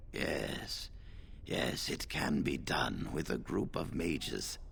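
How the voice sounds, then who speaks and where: A man speaks in a put-on character voice. Clear background noise can be heard behind him. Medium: video game. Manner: measured, authoritative.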